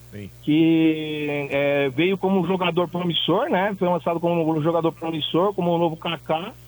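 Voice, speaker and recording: A man is talking. His pace is moderate. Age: 40s. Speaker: caller, football fan. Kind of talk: call-in.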